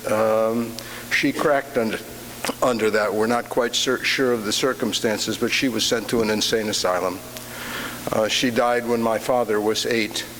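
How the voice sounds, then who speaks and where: A man talks at a moderate pace and medium pitch, in a flat monotone at very even loudness. Noticeable background noise and audible room echo are present. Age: 70s. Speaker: church member giving a Father's Day reflection. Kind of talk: personal reflection talk in church. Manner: halting, many fillers.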